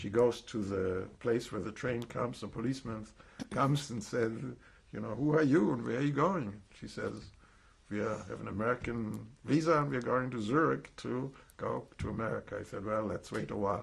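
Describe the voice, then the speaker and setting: Medium in pitch and moderate in pace, a man talks with vocal fry, ordinary pitch variation and a slight German accent. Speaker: Holocaust survivor. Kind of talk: testimony. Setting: recorded interview. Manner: halting, with false starts.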